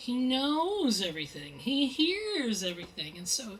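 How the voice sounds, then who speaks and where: A woman speaks at a fairly slow pace, with noticeable background noise behind her. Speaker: mystery novelist. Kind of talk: author talk at bookstore. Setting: bookstore event with audience. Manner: loud; animated.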